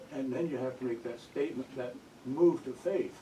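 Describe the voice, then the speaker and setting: Noticeable background noise runs under a voice whose pitch moves in an ordinary way. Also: man. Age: 80s+. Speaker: audience member asking a question. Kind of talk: audience question at book talk. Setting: bookstore event with audience. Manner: halting.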